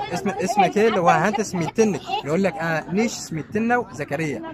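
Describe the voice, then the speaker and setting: A man with a high voice talks at a fairly quick pace over crowd noise in the background. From Siwa Oasis, Egypt. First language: Siwi Berber (Amazigh) (speaking Arabic). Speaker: local resident. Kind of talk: casual interview. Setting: outdoors at sunset. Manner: halting.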